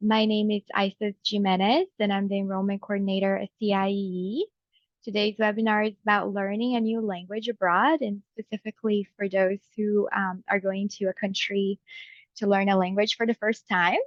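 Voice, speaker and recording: In a Brazilian Portuguese accent, a woman speaks at medium pitch and a moderate pace with monotone, flat intonation. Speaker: enrollment coordinator at a study abroad organization. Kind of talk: webinar presentation. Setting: video call webinar.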